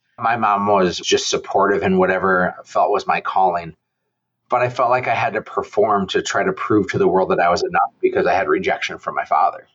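A man talks at a fairly quick pace with very even loudness. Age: 40s. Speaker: real estate entrepreneur and advocate. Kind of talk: interview conversation.

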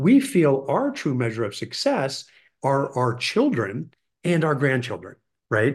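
A man speaks at a fairly slow pace with a fairly high pitch. His voice is somewhat breathy, with lively intonation. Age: 50s. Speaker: financial adviser and children's leadership educator. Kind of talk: casual chat.

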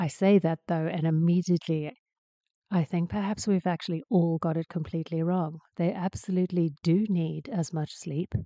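A woman's dark, mellow voice with a British accent, fairly low in pitch, at a moderate pace with fairly even intonation, in a dry, close sound with no echo. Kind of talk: casual solo podcast monologue.

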